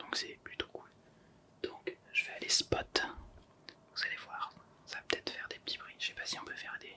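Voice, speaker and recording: Someone whispers at a moderate pace with long, frequent pauses over noticeable background noise. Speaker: ASMR creator. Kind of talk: ASMR video, casual talk to camera. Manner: soft whispers.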